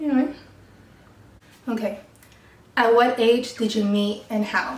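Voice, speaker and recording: A woman with a Californian accent speaks at a fairly slow pace in a fairly high pitch. Her intonation stays fairly even, and the room echo is audible. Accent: Californian American English. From Mexico then Colorado and San Diego, California. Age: 20s. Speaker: YouTuber. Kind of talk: casual chat.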